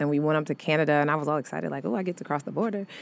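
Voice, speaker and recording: Her pitch very deep and low, this woman talks with an American accent. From US Midwest, St. Louis, Missouri. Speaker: actress, singer, dancer. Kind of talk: interview. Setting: radio studio.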